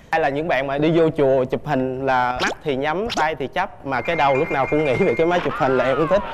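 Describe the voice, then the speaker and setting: Very fast male speech with hardly any pauses, fairly high in pitch with ordinary pitch variation, against noticeable background noise. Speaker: dating show contestant. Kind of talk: casual chat. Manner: talkative.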